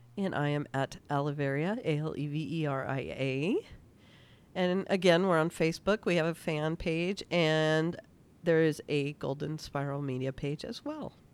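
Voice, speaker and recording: With a very deep, low pitch, a woman speaks at a moderate pace with ordinary pitch variation. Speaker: podcast host. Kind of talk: casual chat, show recap. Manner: animated, chatty.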